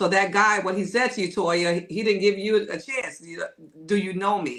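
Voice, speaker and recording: An unremarkable speaking voice from a woman at a moderate pace, medium in pitch, with ordinary pitch variation. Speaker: podcast co-host. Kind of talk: casual chat.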